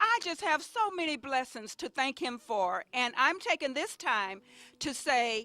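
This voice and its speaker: A woman projects her raised voice at a high pitch with a bright, sharp tone, moving at a fairly slow pace. The sound is dry and close with no echo. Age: 60s. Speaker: senior center member. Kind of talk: birthday greeting.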